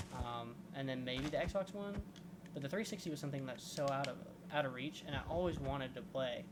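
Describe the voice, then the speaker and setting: A man's fairly high-pitched voice at a fairly quick pace with ordinary pitch variation, amid audible room echo and noticeable background noise. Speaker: gaming YouTuber. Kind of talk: casual gameplay commentary. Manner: rambling, halting.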